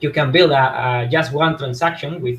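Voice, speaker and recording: A man with a fairly high-pitched voice. He sounds somewhat breathy, with ordinary pitch variation. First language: not English. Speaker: crypto developer, co-host. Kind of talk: casual video call update. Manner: halting, many fillers.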